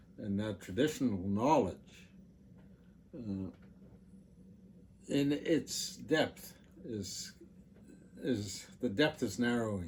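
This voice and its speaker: A man's somewhat breathy, fairly low-pitched voice, very slow in pace, with lively intonation and long, frequent pauses. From Canadian Arctic. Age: 70s. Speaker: former park management board member. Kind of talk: interview. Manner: halting.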